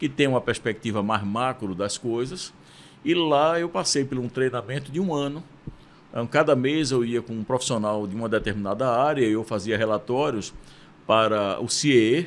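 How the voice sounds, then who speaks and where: Speaking with a Pernambuco accent, a man keeps a moderate pace. His pitch is medium, with ordinary variation. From Brazil, Pernambuco (Recife). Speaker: university rector. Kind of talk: interview conversation. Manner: hesitant, with fillers.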